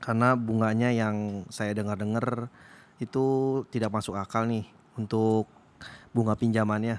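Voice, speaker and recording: The delivery comes at a fairly slow pace. Its intonation is monotone and flat. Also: man, medium pitch for a man. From Indonesia, Chinese-Indonesian. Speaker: podcast host, office worker. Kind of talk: casual chat. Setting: recording after work in the evening.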